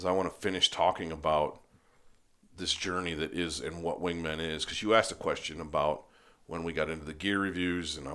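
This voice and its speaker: Over a silent background in a very clean recording, a man speaks with a very deep, low pitch and a bright, sharp tone. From Upper Peninsula of Michigan. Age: 40s. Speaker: podcast host, waterfowl hunting publication editor. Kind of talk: casual chat. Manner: animated.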